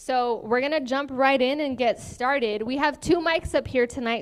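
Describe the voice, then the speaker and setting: The recording is very clean, with a silent background. A woman speaks at a high pitch with ordinary pitch variation. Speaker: forum moderator. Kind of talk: moderating a candidate forum. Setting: event hall with live audience, shared mics. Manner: fast.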